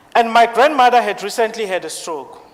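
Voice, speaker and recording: A high-pitched man with a non-native accent. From South Africa. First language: not English. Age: 20s. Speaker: IT support engineer. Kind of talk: speech. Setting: stage with audience.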